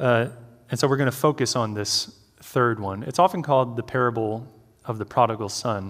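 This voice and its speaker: With a fairly quick pace, a man's speech shows ordinary pitch variation. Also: medium pitch for a man. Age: 30s. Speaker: campus minister, guest preacher. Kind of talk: sermon. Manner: hesitant with many fillers.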